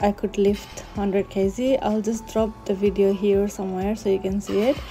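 Over music in the background, a woman speaks with monotone, flat intonation. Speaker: fitness vlogger. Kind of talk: casual vlog narration.

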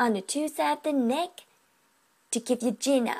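A woman speaks in a playful, upbeat tone. The background is quiet. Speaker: anatomy and physiology student. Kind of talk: educational class presentation. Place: home room. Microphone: webcam.

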